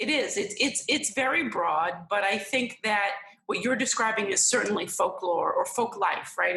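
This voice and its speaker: Noticeable background noise sits behind this recording. A woman with a fairly high pitch talks in an American accent. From New York City area. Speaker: folklorist. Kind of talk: interview.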